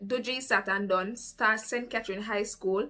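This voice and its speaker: A woman with a Jamaican accent talks at a moderate pace in a fairly high pitch, her bright, sharp tone carried by fairly even intonation. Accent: Jamaican Patois. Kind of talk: casual storytime talk to camera.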